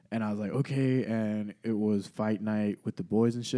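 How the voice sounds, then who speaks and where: On a very clean recording with a silent background, a man talks at a fairly quick pace. His fairly low voice has a dark, mellow tone and fairly even intonation. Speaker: podcast host. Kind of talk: casual chat. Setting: studio.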